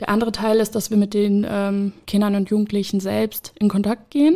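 At a moderate pace, a woman speaks in a normal speaking voice with a medium pitch and fairly even intonation. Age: 20s. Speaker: social worker, addiction counselor. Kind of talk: interview.

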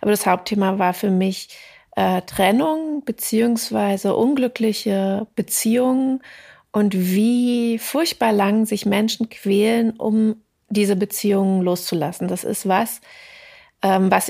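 In a dark, mellow tone, the voice moves at a fairly slow pace with very even loudness and ordinary pitch variation, on a very clean recording with a silent background. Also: woman. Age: 40s. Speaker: novelist. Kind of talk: interview. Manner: hesitant with many fillers.

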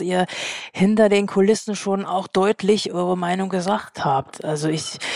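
In a normal speaking voice, a woman talks at a medium pitch with fairly even intonation, and the sound is dry and close with no echo. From East Germany. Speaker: magazine editor-in-chief, co-host. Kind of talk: interview.

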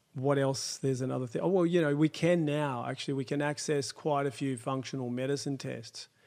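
With an unremarkable speaking voice, a man talks fairly quickly at a fairly high pitch, his intonation fairly even. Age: 50s. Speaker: chiropractor. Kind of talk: interview.

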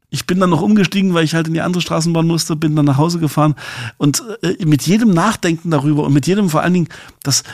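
The voice moves at a very fast pace with ordinary pitch variation. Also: man. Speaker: podcast co-host. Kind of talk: casual chat. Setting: remote recording.

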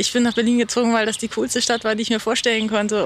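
A woman speaks very fast at a fairly high pitch. Noticeable background noise runs underneath. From Hamburg, northern Germany. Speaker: singer-songwriter and saxophonist. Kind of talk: interview. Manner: hesitant, many fillers.

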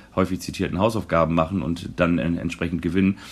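A man speaks at a fairly quick pace. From northern Germany, Kiel. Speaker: football podcast co-host. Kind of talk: casual chat.

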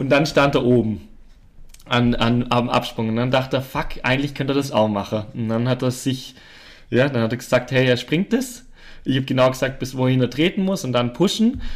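On a very clean recording with a silent background, a man speaks at a fairly quick pace and medium pitch with ordinary pitch variation. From Allgäu, Bavaria/Swabia, southern Germany. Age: 20s. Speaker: professional mountain biker. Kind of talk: casual interview chat. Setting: on-site recording at a farm. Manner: quiet, soft-spoken.

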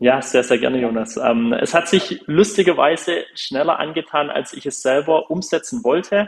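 A man's normal speaking voice, fairly high in pitch, at a moderate pace with lively intonation and hardly any pauses. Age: 20s. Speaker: smart home company founder. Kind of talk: interview.

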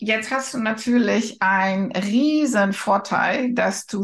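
Speaking at a very slow pace, a woman with a non-native accent shows ordinary pitch variation. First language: not German (speaking German). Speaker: podcast host and career coach. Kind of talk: interview. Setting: podcast studio.

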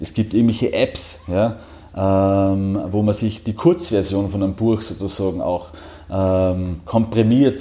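With a Salzburg accent, a man speaks in a fairly low, somewhat breathy voice with a dark, mellow tone. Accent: Salzburg Austrian German. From Austria, Salzburg (Pongau, near Werfen). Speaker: financial services executive. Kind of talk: interview. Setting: office.

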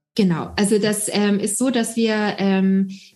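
A somewhat breathy woman. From Austria. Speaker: startup founder and doctor. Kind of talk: interview. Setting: video call.

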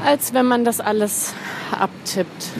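A woman's pitch varies in an ordinary way as noticeable noise sounds behind her. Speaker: blogger and podcaster. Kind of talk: voice message monologue. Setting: voice messages recorded on the go.

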